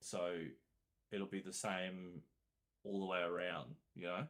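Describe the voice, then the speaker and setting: The speaker is a man. His pitch is very deep and low. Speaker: gaming streamer. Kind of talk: casual chat. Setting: home studio, headphones. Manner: loud.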